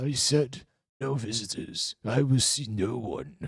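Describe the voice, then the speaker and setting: A man's put-on character voice, medium in pitch, at a fairly slow pace. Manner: grumpy, demanding.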